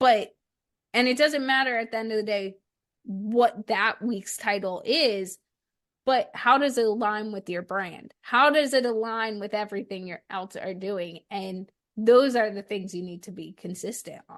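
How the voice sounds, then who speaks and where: Over a quiet background, a woman with a fairly high pitch talks fairly slowly in an animated tone, with ordinary pitch variation and big swings in loudness. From New Jersey, born in Arkansas. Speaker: business coach and podcaster. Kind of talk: interview.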